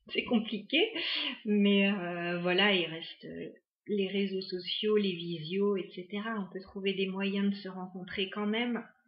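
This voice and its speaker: A woman of medium pitch speaks very slowly and somewhat breathily, with fairly even intonation. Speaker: tarot card reader. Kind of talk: tarot reading to camera. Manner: hesitant, many fillers.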